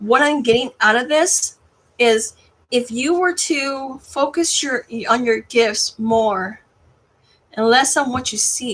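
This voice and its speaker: A woman's high voice at a very slow pace, with ordinary pitch variation. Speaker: tarot card reader. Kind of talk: tarot reading to camera. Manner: halting, stumbling over words.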